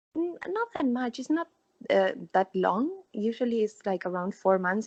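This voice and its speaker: A woman with a Spanish accent, fairly high pitch, lively intonation and a moderate pace, in a dry, close sound with no echo. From Argentina. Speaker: former international theme park worker. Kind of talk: casual interview. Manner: halting.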